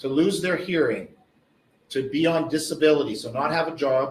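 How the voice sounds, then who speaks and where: Audible room echo surrounds the voice. A man speaks at a fairly quick pace with a fairly high pitch. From Canada, mountain region. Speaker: professor, pediatric neurosurgery researcher. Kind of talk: lecture.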